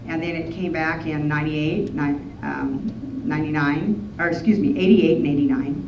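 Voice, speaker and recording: A woman speaks at a moderate pace in a very deep, low voice with lively intonation. Noticeable background noise can be heard. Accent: Western US. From Wyoming. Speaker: rancher, horse trainer, cowboy poet, rodeo historian. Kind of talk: museum talk to an audience.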